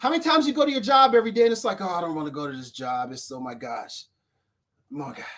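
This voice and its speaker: A man with an American accent talks at a very fast pace and a high pitch. His voice makes very wide pitch swings and big swings in loudness. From Dayton, Ohio, US Midwest. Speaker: Air Force veteran, motivational speaker. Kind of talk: motivational talk in interview. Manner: animated.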